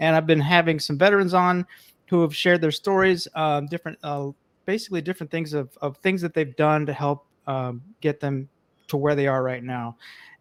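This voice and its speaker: Heard in a dry, close sound with no echo, a man with a fairly high pitch and an ordinary speaking voice talks at a fairly quick pace with ordinary pitch variation. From New York (Bronx). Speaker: financial social worker, podcast host. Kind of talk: interview.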